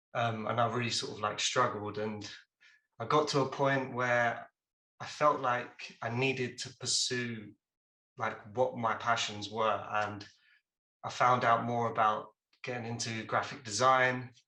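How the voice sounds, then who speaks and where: A man with an English accent talks at a fairly slow pace in a medium pitch, his tone bright and sharp, his intonation flat and monotone, with long, frequent pauses and audible room echo. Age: 20s. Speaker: junior video editor, visually impaired creative. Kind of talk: presentation on a video call. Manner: casual with many fillers.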